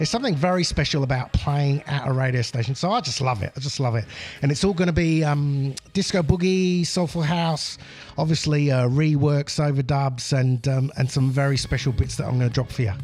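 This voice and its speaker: A fairly high-pitched man over noticeable background noise. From England. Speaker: DJ. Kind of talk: casual chat. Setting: radio studio.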